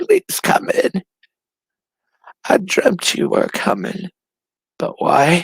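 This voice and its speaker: In a put-on character voice, the delivery is raspy and gravelly, very slow, with long, frequent pauses. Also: man. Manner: welcoming, mysterious.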